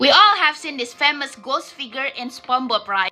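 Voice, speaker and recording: Over music in the background, a raised, projected voice carries at a moderate pace. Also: woman. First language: not English, self-taught English. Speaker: storytelling vlogger. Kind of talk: casual storytelling.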